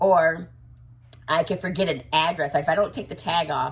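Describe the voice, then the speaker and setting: Fairly even intonation at a moderate pace. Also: woman. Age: 40s. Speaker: doll collector vlogger. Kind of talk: casual vlog chat. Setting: home office bedroom. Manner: halting, repeating words.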